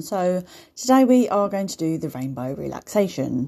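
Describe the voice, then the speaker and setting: A woman's voice swings very widely in pitch, with a dark, mellow and soothing, warm tone. The recording is very clean, with a silent background. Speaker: meditation guide. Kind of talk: guided meditation, gentle step-by-step visualization script. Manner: slow, soothing, with pauses for breathing; warm, nurturing, as if addressing children.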